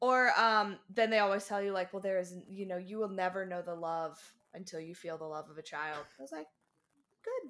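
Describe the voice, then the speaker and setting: A woman with an ordinary speaking voice talks at a moderate pace and medium pitch, with ordinary pitch variation. Her loudness swings widely on a very clean recording with a silent background. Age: 20s. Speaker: podcast guest. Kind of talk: casual chat.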